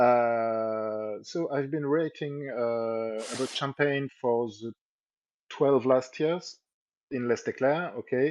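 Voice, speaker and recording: A man with a French accent, at a very slow pace with ordinary pitch variation. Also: medium pitch for a man. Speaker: local journalist. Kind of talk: live stream interview. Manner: halting, repeats words.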